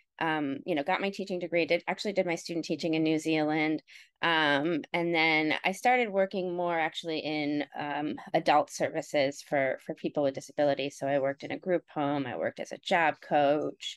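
A woman speaks with an American accent and a very deep, low pitch, her intonation rising and falling in an ordinary way. She barely pauses, and the sound is dry and close with no echo. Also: moderate pace, quiet background. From US Midwest, Ohio (Cleveland area). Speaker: professor. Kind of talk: interview conversation.

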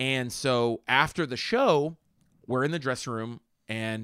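An ordinary speaking voice from a man with an American accent, ordinary pitch variation, on a very clean recording with a silent background. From Pittsburgh, Pennsylvania (Homestead). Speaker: stand-up comedian and actor. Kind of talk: casual chat.

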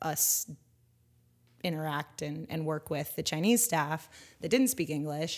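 A woman speaks with a West Coast American accent at a very deep, low pitch. The recording is very clean, with a silent background. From Northern California. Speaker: educator and former school principal. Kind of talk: interview conversation.

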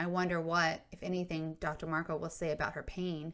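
A woman talks at a moderate pace in a fairly low pitch, her intonation monotone and flat. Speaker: podcast host and memoir storyteller. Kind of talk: narration of a memoir. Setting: recorded for video and podcast.

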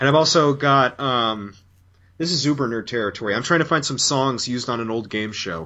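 Speaking at a fairly quick pace, a man uses medium pitch and ordinary pitch variation in an unremarkable speaking voice. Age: 20s. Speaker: guest podcaster and interviewer. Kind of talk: casual chat.

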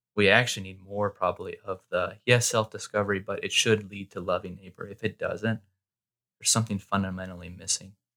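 A man talks at a fairly quick pace, and the recording is very clean with a silent background. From Arizona, US (Mesa). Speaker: pastor. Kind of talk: casual chat. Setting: studio.

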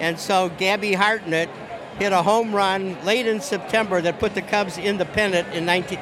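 A man talks at a fairly quick pace in a high, monotone, flat voice at very even loudness, over noticeable background noise. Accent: American. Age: 70s. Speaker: baseball fan. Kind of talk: interview. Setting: outdoors. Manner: halting.

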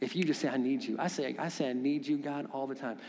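Very fast and animated, a man speaks with a fairly high pitch. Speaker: pastor. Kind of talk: sermon. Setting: church. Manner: animated, preacherly.

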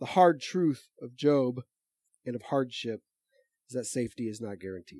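Using a dark, mellow tone at medium pitch, a man talks at a moderate pace with lively intonation, big swings in loudness, and long, frequent pauses. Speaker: pastor. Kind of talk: sermon. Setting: church. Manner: informal, conversational.

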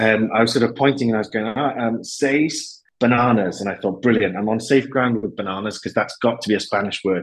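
The speaker has a Welsh accent and ordinary pitch variation. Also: man. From Wales. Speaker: business executive and university lecturer. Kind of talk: interview conversation.

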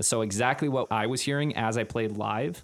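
A man with an American accent and a normal speaking voice, fairly even intonation and a moderate pace, on a very clean recording with a silent background. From Wisconsin, Green Bay. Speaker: drummer and video creator. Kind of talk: casual chat.

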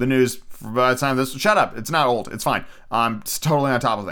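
A natural reading voice carries the words.

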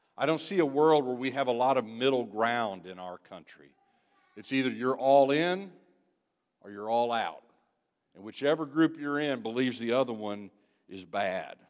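Speaking at a moderate pace with lively intonation, a man with a medium pitch makes big swings in loudness and takes long, frequent pauses. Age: 60s. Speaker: guest preacher, church member. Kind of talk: sermon. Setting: church.

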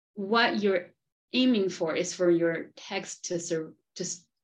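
With a Spanish accent, a woman speaks in a fairly low pitch and fairly even intonation. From Argentina. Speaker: professor and podcast host. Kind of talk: interview. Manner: halting, many fillers.

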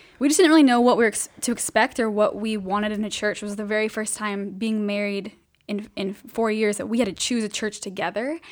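A woman's fairly high-pitched, plain, everyday voice with an American accent, fairly even intonation and a fairly quick pace. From Southern California, Riverside. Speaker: missions mobilizer. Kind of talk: casual interview.

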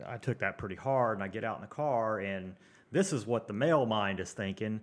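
A man's ordinary speaking voice, fairly quick, with ordinary pitch variation, on a very clean recording with a silent background. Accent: American. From Tulsa, Oklahoma. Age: 40s. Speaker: heavy equipment operator. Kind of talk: casual chat.

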